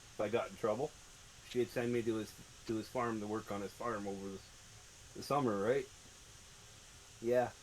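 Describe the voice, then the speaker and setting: At a moderate pace, a man is speaking. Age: 50s. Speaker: gaming streamer. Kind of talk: casual chat.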